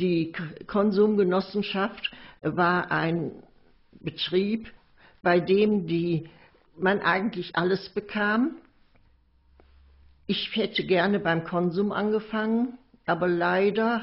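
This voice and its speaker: Very slowly, with long and frequent pauses, a woman speaks at a medium pitch and fairly even intonation. Her loudness stays very even throughout. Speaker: witness recounting memories of the Nazi era. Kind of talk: recorded memoir / oral history recollection.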